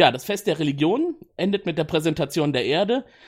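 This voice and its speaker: Fairly high in pitch and moving at a fairly quick pace, a man talks in an ordinary speaking voice on a very clean recording with a silent background. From Cologne, Germany. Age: 30s. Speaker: project manager, podcast guest. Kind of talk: casual chat. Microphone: new good microphone.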